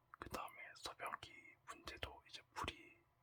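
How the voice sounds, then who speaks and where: A man is whispering. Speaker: former army signal soldier. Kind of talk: ASMR talk. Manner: whispered.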